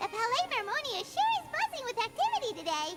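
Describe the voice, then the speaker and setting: Over clear music in the background, a woman in a squeaky, put-on character voice talks very fast at an extremely high pitch. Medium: game stream. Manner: chatty, bright.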